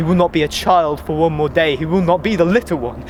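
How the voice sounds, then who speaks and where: Noticeable background noise sits behind the recording. A man talks at a fairly quick pace. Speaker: spoken word poet. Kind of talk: spoken word poetry performance.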